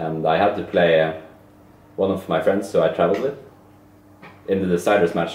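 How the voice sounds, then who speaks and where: With a very deep, low pitch and fairly even intonation, a man speaks at a fairly quick pace, with audible room echo and light background noise. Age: young. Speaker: esports player. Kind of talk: casual chat. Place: home room. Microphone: camera far.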